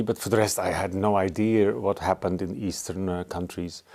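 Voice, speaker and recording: With a Dutch accent, a man speaks at a fairly low pitch and a moderate pace, his tone dark and mellow. His intonation is fairly even, and the recording is very clean with a silent background. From Netherlands. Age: 60s. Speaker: artist. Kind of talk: interview. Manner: halting.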